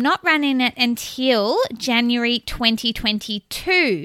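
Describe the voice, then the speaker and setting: In a dry, close recording with no echo and a very clean, silent background, a woman speaks in a high, raised and projected voice with an enthusiastic tone and lively intonation. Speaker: podcast host. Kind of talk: solo podcast monologue.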